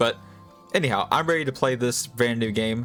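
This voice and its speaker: With music in the background, a man talks at a moderate pace and medium pitch, varying it in an ordinary way. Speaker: VTuber. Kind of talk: casual talk to camera, video intro.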